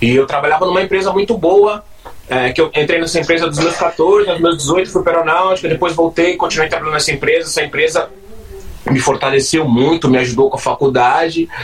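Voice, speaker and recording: Over noticeable background noise, a man talks at a fairly quick pace in a high pitch with ordinary pitch variation. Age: 40s. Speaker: DJ. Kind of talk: casual chat.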